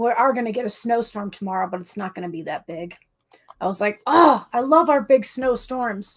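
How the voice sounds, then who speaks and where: Against a quiet background, a woman speaks at a moderate pace. Her tone is animated and warm, with lively intonation. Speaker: live auction host. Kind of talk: live online auction, bidding calls. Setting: live stream from home setup. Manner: animated, chatty, warm and bubbly. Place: home room.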